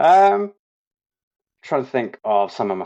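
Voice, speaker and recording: Speaking fairly slowly, a man talks with an English accent. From England. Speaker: insurance agent. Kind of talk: podcast interview. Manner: hesitant, many fillers.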